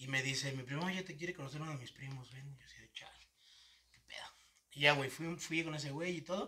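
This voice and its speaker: A man with a Mexican accent, fairly high in pitch, at a fairly quick pace with ordinary pitch variation. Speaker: podcast host. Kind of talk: casual chat.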